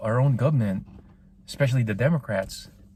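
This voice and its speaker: In a non-native accent, a man speaks at a fairly quick pace with a medium pitch, a somewhat breathy, dark, mellow tone and fairly even intonation. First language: not English. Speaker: political commentary podcaster. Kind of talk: opinion monologue. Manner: halting, repeats words; passionate.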